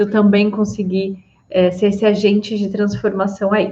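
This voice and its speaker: A woman talks in a fairly high, somewhat breathy voice. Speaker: psychologist. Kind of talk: live stream talk. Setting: live stream on Instagram and YouTube.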